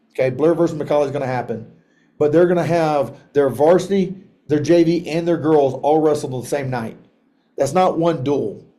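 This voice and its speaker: Fairly high in pitch, a man speaks with a dark, mellow tone. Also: ordinary pitch variation. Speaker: software trainer for wrestling coaches. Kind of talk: online training tutorial. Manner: fast.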